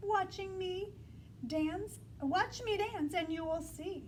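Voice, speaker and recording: Putting on a squeaky character voice at an extremely high pitch, a woman speaks at a fairly slow pace over clear background noise. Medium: read story.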